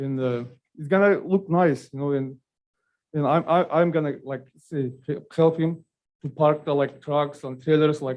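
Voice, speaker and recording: A man talks fairly slowly with a non-native accent. His pitch is fairly high and his intonation fairly even. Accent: non-native English speaker. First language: not English. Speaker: business owner. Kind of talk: public testimony. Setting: public meeting. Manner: halting.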